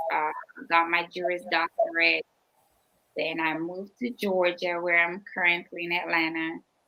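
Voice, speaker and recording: The speaker is a woman. Her voice sits fairly low. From Jamaica, Manchester parish. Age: 20s. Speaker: attorney and speaker. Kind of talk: interview.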